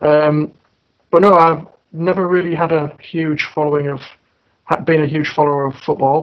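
In a northern English accent, a man with a fairly high pitch speaks in a monotone, flat way with long, frequent pauses. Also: moderate pace. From northern England. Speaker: podcast co-host. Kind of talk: casual podcast chat.

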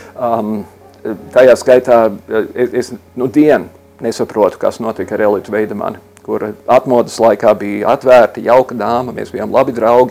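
This man speaks at a medium pitch in a flat, monotone delivery. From US Midwest, Chicago. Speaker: LGBT rights activist. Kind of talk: interview. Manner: hesitant with fillers.

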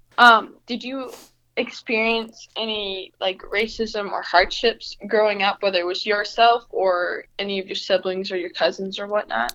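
A woman speaks in an unremarkable speaking voice at a moderate pace. Her pitch is medium, her intonation fairly even and her loudness swings widely. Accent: American. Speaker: college student. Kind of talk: casual interview.

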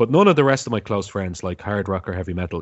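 This man has a Dublin accent and a fairly low pitch. His pitch variation is ordinary. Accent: Dublin Irish. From Ireland, Dublin. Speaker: podcaster. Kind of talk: casual chat.

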